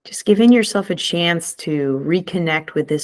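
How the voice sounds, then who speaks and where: A woman is speaking. Her intonation is lively. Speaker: meditation guide. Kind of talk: guided meditation. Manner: slow, soft-spoken.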